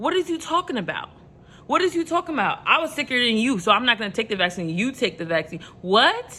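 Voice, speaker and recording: Talking very fast in a New York accent, a woman uses a high pitch, a passionate tone and very wide pitch swings. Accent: New York, still noticeable. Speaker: motivational vlogger. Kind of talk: motivational talk to camera. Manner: casual; passionate, rises in pitch.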